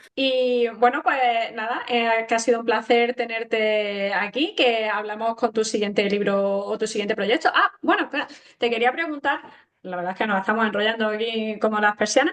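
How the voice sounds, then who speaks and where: Moderate pacing and ordinary pitch variation in a plain, everyday voice. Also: woman, fairly high pitch for a woman. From Granada, Andalusia, Spain. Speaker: interviewer, podcast host. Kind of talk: casual interview chat.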